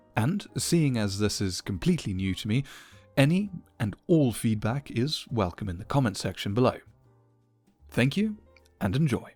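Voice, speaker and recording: Music plays in the background while a man speaks at a medium pitch and a moderate pace. His pitch swings very widely, with long, frequent pauses. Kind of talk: spoken introduction to listeners.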